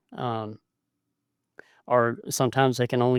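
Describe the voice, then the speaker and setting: Recorded very cleanly against a silent background, a man speaks with a dry, close sound and no echo. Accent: Southern US. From US South, South Carolina. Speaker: podcaster, blind photographer. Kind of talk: casual podcast monologue. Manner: hesitant, many fillers.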